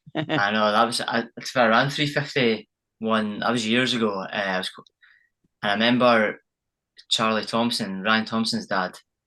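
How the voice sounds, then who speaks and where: A man with a Scottish accent speaks at a moderate pace in a medium pitch, his tone bright and sharp and his intonation fairly even, with a quiet background. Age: young. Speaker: champion runner. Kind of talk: casual chat.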